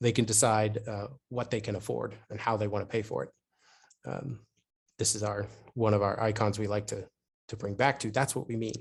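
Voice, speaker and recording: A man talks at a fairly quick pace in a somewhat breathy, monotone, flat voice. Long pauses come often. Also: fairly low pitch for a man, quiet background. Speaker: urban planning consultant. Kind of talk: webinar presentation. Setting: online webinar. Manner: fast.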